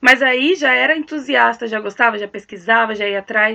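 Here a woman speaks with a fairly high pitch. Her intonation is lively and her pace moderate. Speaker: actress and singer. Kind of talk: casual chat.

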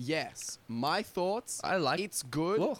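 A man with an Australian accent and a high voice. His intonation is lively. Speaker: podcast co-host. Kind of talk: casual chat.

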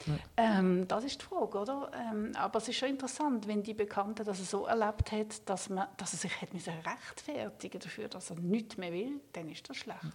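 Against noticeable background noise, a woman speaks at a moderate pace, her fairly high voice showing ordinary pitch variation. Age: 50s. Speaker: palliative care physician. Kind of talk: interview. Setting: studio.

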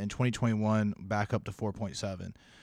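Over a silent background in a very clean recording, a man with an unremarkable speaking voice talks fairly quickly at a fairly low pitch with fairly even intonation. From South Carolina. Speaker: executive assistant. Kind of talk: casual chat.

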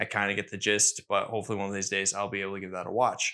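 A man mumbles in an energetic voice with a bright, sharp tone. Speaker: podcast host. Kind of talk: casual solo podcast monologue. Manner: fast talker, mumbles; energetic on topics.

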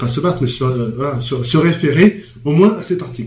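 A man speaks at a moderate pace while noticeable noise fills the background. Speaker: panelist. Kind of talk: radio discussion. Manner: halting.

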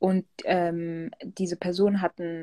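Dry and close with no echo, the recording catches a woman's fairly low pitch, dark, mellow tone and fairly even intonation. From southern Germany, Pforzheim. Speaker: DJ and music producer. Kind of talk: casual interview.

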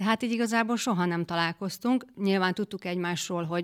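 A woman speaks at a fairly quick pace and medium pitch in an unremarkable speaking voice, her intonation fairly even, the sound dry and close with no echo on a very clean recording against a silent background. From Western Hungary, near Győr. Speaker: guest, footballer's wife. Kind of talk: casual interview. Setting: studio.

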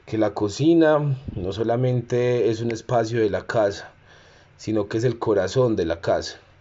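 A man speaks with an Antioquian accent. His pitch is medium. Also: ordinary pitch variation, fairly slow pace. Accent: Colombian paisa (Antioquia). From Medellín, Colombia. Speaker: cook and community organizer. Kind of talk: personal testimony and talk. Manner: halting, with fillers.

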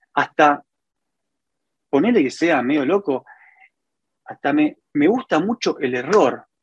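Recorded dry and close with no echo, a man with a fairly high pitch makes very wide pitch swings. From Argentina, Santa Fe province (small town). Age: 40s. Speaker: furniture business owner. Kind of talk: interview. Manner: halting, with frequent repetitions.

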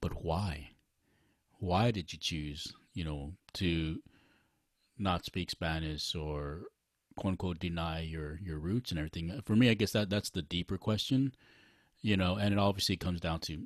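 A man with a very deep, low voice talks at a moderate pace with ordinary pitch variation and long, frequent pauses. The sound is dry and close, with no echo, in a very clean recording with a silent background. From Texas-born, raised in Los Angeles. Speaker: podcast host. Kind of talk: casual chat. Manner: halting, many fillers.

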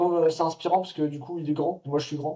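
A man's dark, mellow tone at a fairly high pitch. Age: 20s. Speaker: street workout athlete and mountain adventurer. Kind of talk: casual chat.

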